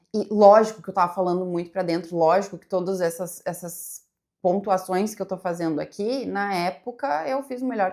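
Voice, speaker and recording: On a very clean recording with a silent background, the delivery is relaxed and moderate in pace. Intonation stays fairly even. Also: woman. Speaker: psychologist and content creator. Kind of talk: casual reaction video monologue. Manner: relaxed, flowing.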